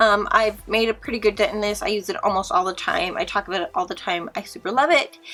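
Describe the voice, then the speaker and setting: At a very fast pace and with hardly any pauses, a woman talks in a fairly high pitch with lively intonation. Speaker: beauty vlogger. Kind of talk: product review vlog. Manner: halting, many fillers.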